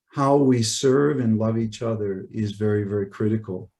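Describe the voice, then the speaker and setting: A man with a Canadian accent, medium pitch, a dark, mellow and somewhat breathy tone, and fairly even intonation. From Canada. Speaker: high school teacher and summit speaker. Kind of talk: conference presentation.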